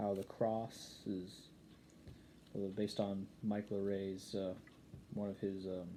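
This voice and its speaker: A man talks very slowly in a fairly low, dark, mellow voice with monotone, flat intonation. Audible room echo surrounds the speech. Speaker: YouTube preacher. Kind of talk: sermon. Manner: halting, many fillers and restarts.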